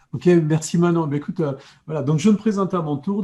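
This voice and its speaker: With a southwestern French accent, a man speaks in a dark, mellow tone at a fairly high pitch, his intonation lively. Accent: southwestern France. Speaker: coach and hypnotherapist. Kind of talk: live video chat. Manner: halting, many repetitions.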